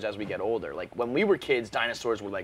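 Fairly quick speech over light background noise. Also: man. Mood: jokey, laughing. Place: studio.

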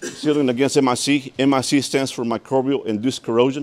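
The speech moves at a fairly quick pace with fairly even intonation. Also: man, medium pitch for a man.

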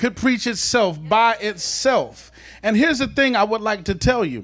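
Speech comes at a fairly slow pace. The speaker is a man. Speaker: preacher. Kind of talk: sermon. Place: church. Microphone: handheld.

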